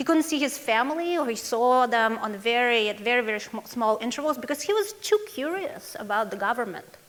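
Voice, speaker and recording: A woman's high voice in a Russian accent, with lively intonation, a fairly quick pace and hardly any pauses. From Russia, Moscow. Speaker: foundation executive director. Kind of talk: conference talk.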